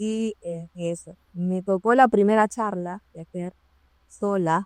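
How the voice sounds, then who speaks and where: Very slowly, a woman speaks. Her volume rises and falls by a wide margin. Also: medium pitch for a woman, fairly even intonation, dry, close sound with no echo. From Peru. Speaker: occupational safety professional. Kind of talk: interview storytelling.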